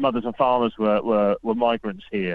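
This man talks with a British accent. His voice sits at a medium pitch. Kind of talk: radio interview. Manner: humorous, laughs often.

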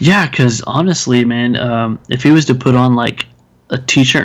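At a moderate pace, a man with an American accent speaks at medium pitch with ordinary pitch variation. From Texas. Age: 30s. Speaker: podcast co-host, film reviewer. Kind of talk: casual chat. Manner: hesitant, many fillers and restarts.

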